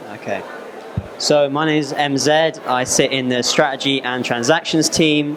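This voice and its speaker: A fairly high-pitched man's voice with audible room echo and noticeable background noise. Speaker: apprentice in finance, former footballer. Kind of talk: presentation to school students. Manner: loud.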